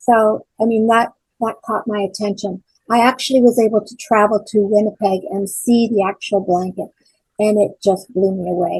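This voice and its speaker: At a moderate pace, the voice comes through somewhat breathy, with fairly even intonation. Loudness swings a lot. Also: woman, fairly high pitch for a woman. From Ontario, Canada (Port Perry). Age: 70s. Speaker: church member and event organizer. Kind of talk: interview. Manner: halting.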